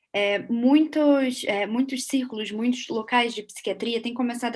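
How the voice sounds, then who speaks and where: Speaking at a fairly quick pace, a woman with a Portuguese accent has a fairly high pitch and ordinary pitch variation. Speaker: interpreter. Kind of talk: consecutive interpreting. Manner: halting.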